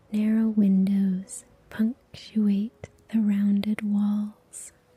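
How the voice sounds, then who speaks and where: Very slowly, a woman speaks at medium pitch in a somewhat breathy voice. Her tone is dark and mellow, her intonation monotone and flat. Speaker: meditation guide. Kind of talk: guided meditation. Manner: soft-spoken.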